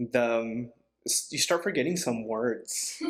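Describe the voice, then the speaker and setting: A man talks with a Spanish accent. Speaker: podcast host. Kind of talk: interview.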